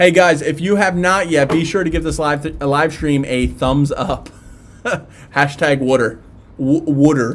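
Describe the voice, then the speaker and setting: In a Philadelphia accent, a man with a fairly high pitch speaks at a fairly slow pace with fairly even intonation. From South Philadelphia. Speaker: tattoo live streamer. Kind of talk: live stream chat and Q&A. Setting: live stream. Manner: casual, halting with fillers.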